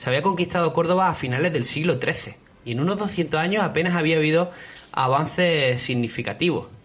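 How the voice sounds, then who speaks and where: With an Andalusian accent, a man talks fairly quickly at a fairly high pitch with ordinary pitch variation, and background noise is noticeable. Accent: Andalusian (Málaga). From southern Spain, Málaga. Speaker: history podcast host. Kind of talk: history podcast narration. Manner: hesitant, many fillers.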